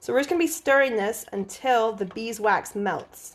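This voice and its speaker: Speaking fairly slowly, a woman with an American accent has a fairly high pitch. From US, Oklahoma. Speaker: aromatherapy trainee. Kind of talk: live-stream tutorial. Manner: loud; casual, halting.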